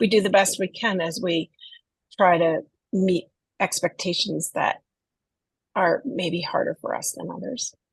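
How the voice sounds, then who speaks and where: With long, frequent pauses, a woman talks at a fairly slow pace. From northeastern US. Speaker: neurodiversity advocate. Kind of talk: interview conversation.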